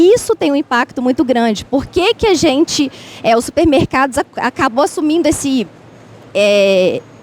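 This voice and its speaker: Amid noticeable background noise, someone speaks at a moderate pace with very wide pitch swings. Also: woman. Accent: Minas Gerais. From Minas Gerais, Brazil. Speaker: university researcher in food environments. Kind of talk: panel debate. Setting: public event in a market hall. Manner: halting, with many fillers.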